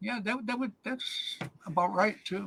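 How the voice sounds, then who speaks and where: A man speaks with lively intonation. His tone is bright and sharp. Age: 70s. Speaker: paintball podcast host. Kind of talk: casual chat. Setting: live stream video call.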